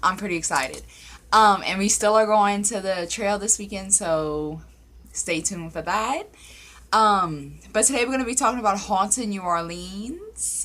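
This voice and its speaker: At a moderate pace, a woman speaks in a medium pitch with a bright, sharp tone and ordinary pitch variation. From Louisiana. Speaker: paranormal story YouTuber. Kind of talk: casual vlog chat. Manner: animated.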